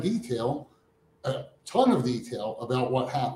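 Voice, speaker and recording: The man's voice is somewhat breathy. His tone is dark and mellow. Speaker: podcast guest, bible teacher. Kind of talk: casual theological discussion.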